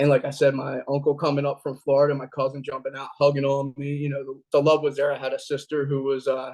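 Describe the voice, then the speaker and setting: Talking at a very fast pace with a Philadelphia accent, a man uses a fairly high pitch and monotone, flat intonation. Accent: Philadelphia-area American. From Pennsylvania, Delaware County near Philadelphia. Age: 30s. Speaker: recovering addict telling life story. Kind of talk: personal testimony. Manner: conversational with frequent fillers.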